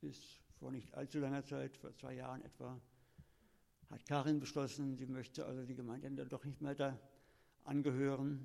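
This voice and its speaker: A man's dark, mellow voice in monotone, flat intonation, broken by long, frequent pauses. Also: medium pitch for a man, moderate pace. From Lower Rhine region, Germany (Kleve, near Dutch border). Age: 70s. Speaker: retired teacher. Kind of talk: interview testimony.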